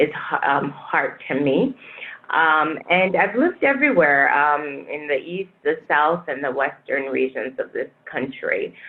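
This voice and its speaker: Someone with a West African accent speaks at a fairly slow pace. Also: woman. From Niger, West Africa. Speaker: public health director. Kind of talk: panel interview.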